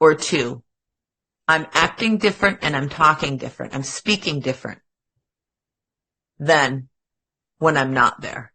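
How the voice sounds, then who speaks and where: A woman with an American accent speaks in an animated, bright, sharp tone with ordinary pitch variation. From Upper Peninsula of Michigan. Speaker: podcast co-host. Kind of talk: casual chat.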